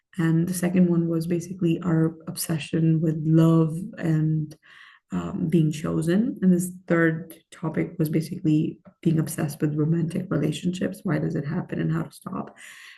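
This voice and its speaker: A woman talks at a moderate pace with a fairly low pitch and a dark, mellow tone. Her delivery is monotone and flat, with vocal fry. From Pakistan, moved to Michigan at sixteen. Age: 30s. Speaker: life coach. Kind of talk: self-help talk to camera.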